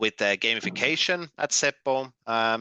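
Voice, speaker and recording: Against a quiet background, a man with a Finnish accent speaks at a fairly slow pace. His tone is bright and sharp. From Finland. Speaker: gamification trainer and consultant. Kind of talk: online workshop presentation. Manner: halting, many fillers and repeats.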